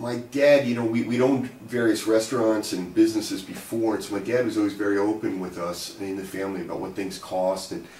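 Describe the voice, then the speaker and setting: Speaking at a moderate pace, a man has a plain, everyday voice pitched fairly low. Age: 50s. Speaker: economics academic and author. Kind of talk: personal storytelling to camera. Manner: casual, conversational.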